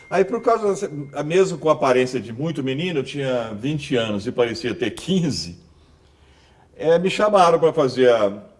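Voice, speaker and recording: A man's fairly high voice swings very widely in pitch, with noticeable background noise behind him. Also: moderate pace. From Brazil, Goiás (Rubiataba). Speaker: journalist and announcer. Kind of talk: interview.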